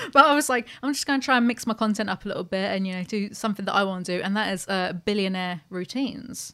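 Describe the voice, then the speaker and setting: A woman with a British accent talks very fast at a medium pitch, her tone bright and sharp. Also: ordinary pitch variation. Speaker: podcast host. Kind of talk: casual chat. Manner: animated.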